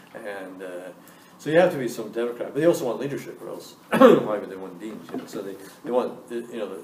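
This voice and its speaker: A fairly quick man's voice with lively intonation, audible room echo and noticeable background noise. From Scotland. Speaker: business school dean. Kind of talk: Q&A interview with students.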